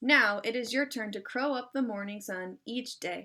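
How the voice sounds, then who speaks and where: In a very clean recording with a silent background, a woman uses a put-on character voice, fairly high in pitch, at a moderate pace. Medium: read story.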